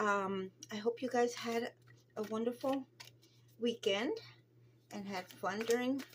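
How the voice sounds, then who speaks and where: Her voice fairly high and her pitch variation ordinary, a woman speaks at a fairly slow pace. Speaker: tarot reader. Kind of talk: tarot reading to camera. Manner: mumbling at times; hesitant, many fillers.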